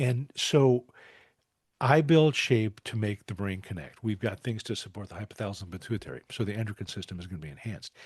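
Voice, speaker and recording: Against a quiet background, a man speaks at a very fast pace with a fairly low pitch and lively intonation. His voice is somewhat breathy. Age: 70s. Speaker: doctor and program founder. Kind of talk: interview. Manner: halting.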